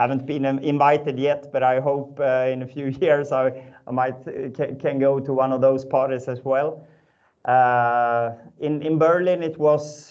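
Over a quiet background, the speaker goes at a fairly slow pace with monotone, flat intonation. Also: man. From northern Sweden. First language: Swedish. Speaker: startup founder and ex-pro cyclist. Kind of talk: webinar panel discussion. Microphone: video call.

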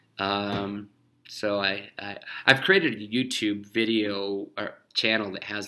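With an American accent, a man speaks in a bright, sharp tone at a fairly low pitch and in a flat monotone, recorded very cleanly against a silent background. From Wyoming, US. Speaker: painter. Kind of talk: recorded monologue answering interview questions. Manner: halting, many fillers.

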